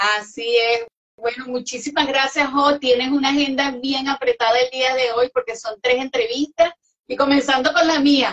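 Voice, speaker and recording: A woman speaks in a high voice at a moderate pace, her intonation fairly even. The background is quiet. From Venezuela. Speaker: interviewer and music show host; interviewer, music show host. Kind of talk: interview chat. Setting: live online interview. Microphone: video call.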